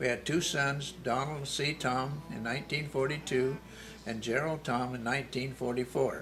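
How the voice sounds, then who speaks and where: Over music in the background, the speaker delivers words at a moderate pace in a monotone, flat intonation with an American accent. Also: man. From California. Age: 80s+. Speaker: war veteran. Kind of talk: testimony.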